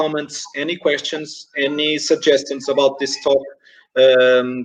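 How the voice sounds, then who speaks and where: A man with a Portuguese accent at a fairly slow pace. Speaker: esports organization director, interviewer. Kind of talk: webinar interview. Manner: halting, many fillers and repetitions.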